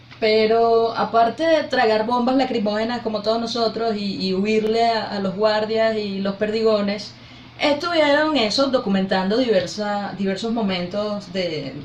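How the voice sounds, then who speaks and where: Over noticeable background noise, a woman speaks at a fairly slow pace with a fairly high pitch and ordinary pitch variation. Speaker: interviewer. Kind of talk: interview questions.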